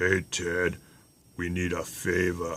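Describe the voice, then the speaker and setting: In a put-on character voice, a man speaks at a very deep, low pitch. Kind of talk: gangster drawl.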